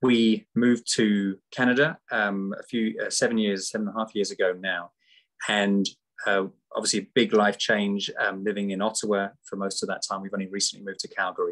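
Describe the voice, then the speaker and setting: A man with a British accent talks at a fairly quick pace. His intonation is monotone and flat, on a very clean recording with a silent background. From UK. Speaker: charity supporter. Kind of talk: testimony. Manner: halting.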